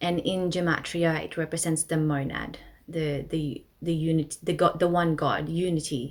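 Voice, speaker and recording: A woman speaks with a Filipino accent at a fairly low pitch. Her intonation is fairly even. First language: Tagalog. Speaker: astrology presenter. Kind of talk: educational presentation. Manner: casual with frequent fillers.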